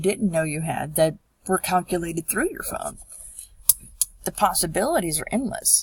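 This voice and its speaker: A woman's fairly low, somewhat breathy voice at a moderate pace. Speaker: public health student. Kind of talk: class presentation narration. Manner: some stammering.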